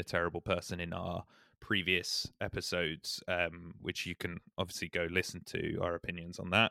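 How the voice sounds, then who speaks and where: A man with a British accent speaks at a moderate pace in a bright, sharp tone. The sound is dry and close with no echo. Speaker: podcast host. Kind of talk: casual chat.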